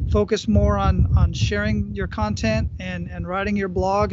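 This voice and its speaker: A man talks with an American accent over noticeable background noise. The sound is dry, with no echo. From Phoenix, Arizona; Arizona. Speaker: podcast host and entrepreneur; podcast guest. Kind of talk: casual interview. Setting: video call outdoors at a beach gazebo. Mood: calm, reflective. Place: beach. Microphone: earbuds.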